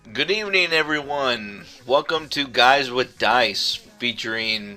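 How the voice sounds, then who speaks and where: Over noticeable background noise, a man at a medium pitch talks at a fairly slow pace with lively intonation. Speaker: gaming talk show host. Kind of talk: casual talk show banter.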